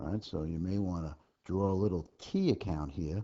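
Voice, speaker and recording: A soft-spoken man talks at a very deep, low pitch. He keeps a fairly slow pace with ordinary pitch variation. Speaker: accounting instructor. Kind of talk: homework tutorial lecture. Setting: low recording level.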